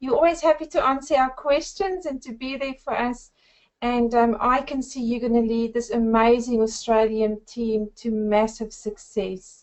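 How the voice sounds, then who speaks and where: A woman with a South African accent talks at a moderate pace in a high voice. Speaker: network marketer. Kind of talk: webinar presentation. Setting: webinar.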